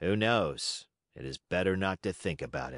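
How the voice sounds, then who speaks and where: Against a quiet background, a man does a raspy put-on character voice at a very deep, low pitch and a moderate pace. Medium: read story. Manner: calm, fatalistic.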